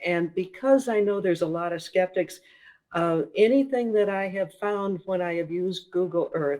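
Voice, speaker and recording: A woman talks at a moderate pace with a slight Minnesota accent. Her pitch is fairly low, and it varies in an ordinary way. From Minnesota, US Midwest. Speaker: author and paranormal investigator. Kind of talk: interview.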